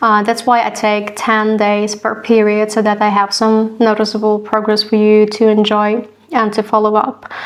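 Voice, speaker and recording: Against noticeable background noise, a woman with a fairly high pitch speaks at a moderate pace in a monotone, flat intonation, with very even loudness and hardly any pauses. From Slavic-speaking country. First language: a Slavic language. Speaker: cross stitch vlogger. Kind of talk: casual vlog talk to camera. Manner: halting, many fillers and repeats.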